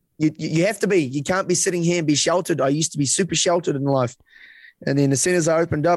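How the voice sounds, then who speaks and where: In a New Zealand accent, a man talks at a very fast pace. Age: 20s. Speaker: content creator. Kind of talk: casual chat.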